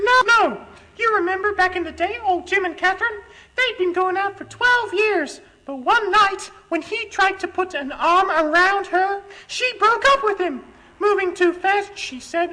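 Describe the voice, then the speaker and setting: A put-on character voice from a woman, extremely high-pitched and squeaky, deadpan in tone with ordinary pitch variation. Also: moderate pace. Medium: comedy sketch. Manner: earnest, deadpan.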